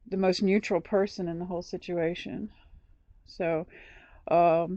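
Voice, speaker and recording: Speaking fairly slowly, a woman uses a fairly low, dark, mellow voice in a monotone, flat intonation. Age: 60s. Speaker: RV dweller recording a social worker call. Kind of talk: phone call conversation. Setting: phone call. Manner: halting, many repetitions.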